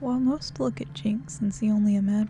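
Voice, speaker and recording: This is a woman with a normal speaking voice and a fairly high pitch. She talks at a fairly quick pace with lively intonation. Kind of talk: ASMR story reading for sleep, reading game lore aloud. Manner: soft-spoken, calm, relaxing.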